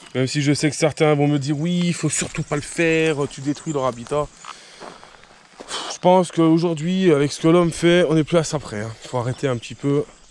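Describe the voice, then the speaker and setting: Amid noticeable background noise, a man with a fairly high pitch talks at a moderate pace with fairly even intonation. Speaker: nature vlogger. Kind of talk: outdoor vlog walk. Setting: outdoors. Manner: casual with hesitations; soft-spoken.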